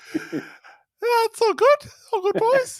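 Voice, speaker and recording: This is a put-on character voice, squeaky and thin. The pitch sits extremely high. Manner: tiny squeaky voice.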